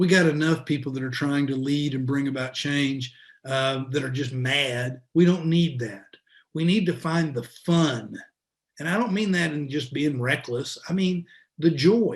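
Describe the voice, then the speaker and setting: Speaking at a fairly slow pace with an American accent, a man has a somewhat breathy voice, a fairly high pitch, and ordinary pitch variation. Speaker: former politician and school dean. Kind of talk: talk to a luncheon group. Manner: repeats words, hesitant fillers.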